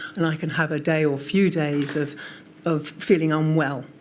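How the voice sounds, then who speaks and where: A woman speaks in a very deep, low voice over noticeable background noise. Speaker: witness at public inquiry, long covid patient advocate. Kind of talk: testimony. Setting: public inquiry hearing.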